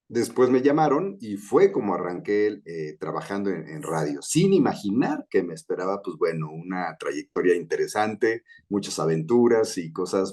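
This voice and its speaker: Hardly pausing at all, a man keeps to a moderate speed. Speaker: voice actor. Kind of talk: interview answer.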